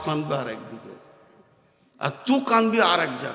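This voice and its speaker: A man's raised, projected voice. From India, Bardhaman, West Bengal. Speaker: Islamic preacher. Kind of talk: sermon. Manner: animated.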